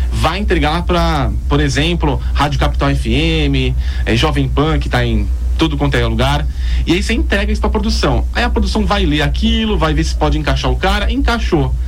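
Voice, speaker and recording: Intonation is monotone and flat, with very even loudness. Noticeable background noise and audible room echo are present. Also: man, very deep, low pitch for a man, moderate pace. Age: 30s. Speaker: press officer. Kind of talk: radio interview.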